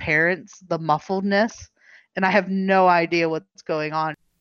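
A woman with an unremarkable speaking voice, fairly low in pitch, at a fairly slow pace. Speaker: interviewee with hearing loss. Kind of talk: casual chat. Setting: video call. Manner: casual, filler-heavy.

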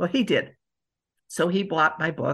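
A woman's fairly low voice with vocal fry, at a moderate pace against a quiet background. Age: 70s. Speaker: poet and artist. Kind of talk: interview with poetry readings.

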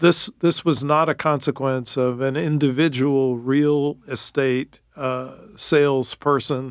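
Here is a man with an unremarkable speaking voice, fairly high in pitch and fairly slow, with fairly even intonation. The recording is very clean, its background silent. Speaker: professor. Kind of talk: interview.

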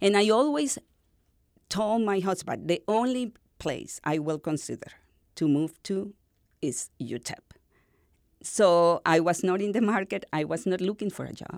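A woman with a medium pitch pauses long and often on a very clean recording with a silent background. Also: lively intonation, moderate pace, big swings in loudness. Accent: Spanish. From northern Venezuela. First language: Spanish. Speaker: university dean, literature scholar. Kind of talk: interview.

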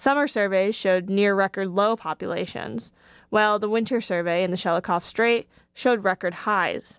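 A woman with a plain, everyday voice talks at a moderate pace, with a medium pitch and ordinary pitch variation. The recording is very clean, with a silent background and a dry, close sound with no echo. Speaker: radio reporter. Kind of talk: formal newsreading, scripted radio feature. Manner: formal; measured and clear.

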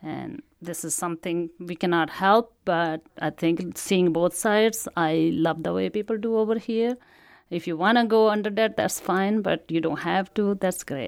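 With an Indian accent, a woman speaks at a fairly slow pace with ordinary pitch variation, recorded very cleanly against a silent background. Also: medium pitch for a woman. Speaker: immigrant. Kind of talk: personal testimony.

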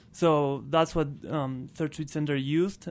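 In a very clean recording with a silent background, a man speaks at a fairly slow pace with a fairly high pitch and an Argentine accent. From Argentina. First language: Spanish. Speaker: transportation program manager at energy nonprofit. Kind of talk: radio interview.

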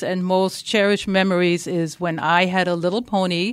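A woman with a slight German accent speaks at a medium pitch. Her delivery is a flat monotone at a moderate pace. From Germany. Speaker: equine therapy life coach. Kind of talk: radio interview.

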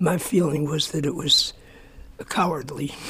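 A man's fairly high voice holds fairly even intonation against noticeable background noise. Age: 90s. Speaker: folk musician and songwriter. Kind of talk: interview.

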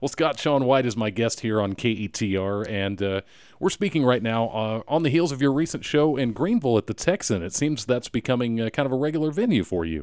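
Using a normal speaking voice, a man talks at a fairly quick pace with hardly any pauses, lively intonation and a medium pitch, on a very clean recording with a silent background. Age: 50s. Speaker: radio host. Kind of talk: radio interview. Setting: studio.

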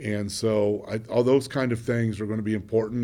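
Monotone, flat intonation from a man with an American accent at a medium pitch and moderate pace. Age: 60s. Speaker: city mayor. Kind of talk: radio interview. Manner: hesitant, many fillers.

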